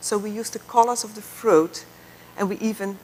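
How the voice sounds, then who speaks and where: With a Dutch accent and a medium pitch, a woman speaks at a moderate pace over noticeable background noise. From southern Netherlands. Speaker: architect. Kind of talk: lecture.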